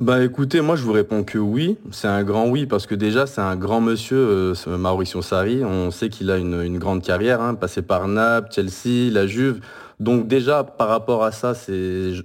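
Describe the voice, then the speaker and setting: A man's fairly low voice with ordinary pitch variation, a fairly slow pace and hardly any pauses, in a very clean recording with a silent background. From France. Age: 30s. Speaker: football fan podcaster. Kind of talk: casual chat. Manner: halting.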